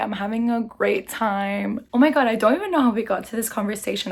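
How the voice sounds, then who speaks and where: A woman with a fairly high pitch speaks at a fairly quick pace in an animated tone with ordinary pitch variation, amid noticeable background noise. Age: 20s. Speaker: lifestyle vlogger. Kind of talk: casual chat. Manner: loud.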